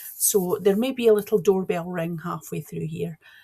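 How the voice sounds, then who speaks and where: A woman with a Scottish accent speaks in a somewhat breathy voice. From east coast of Scotland. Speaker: cross-stitch vlogger. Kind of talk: casual vlog chat. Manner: chatty, animated.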